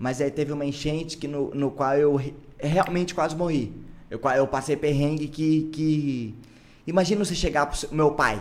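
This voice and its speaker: Here a man speaks with an ordinary speaking voice at a fairly high pitch. His pace is moderate and his intonation fairly even. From Brazil, São Luís do Paraitinga (São Paulo interior). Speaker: podcast host, musician. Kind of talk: casual chat.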